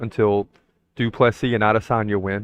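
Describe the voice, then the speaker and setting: Speaking with monotone, flat intonation, a man keeps to a medium pitch. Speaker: MMA podcast host. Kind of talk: solo podcast commentary. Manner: fast.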